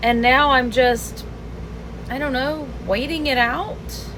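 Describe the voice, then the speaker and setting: A woman speaks at a very slow pace. The room echo is audible and background noise is noticeable. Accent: American. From US South. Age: 60s. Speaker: lifestyle vlogger. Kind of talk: personal vlog monologue. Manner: reflective, conversational.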